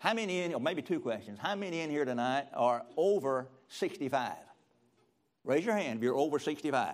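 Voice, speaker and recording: A man's fairly high, lively voice in a Southern US accent at a fairly quick pace, on a very clean recording with a silent background. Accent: Southern US (Georgia). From US South, rural middle Georgia. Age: 70s. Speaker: retired pastor, guest preacher. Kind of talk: sermon. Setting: church with audience.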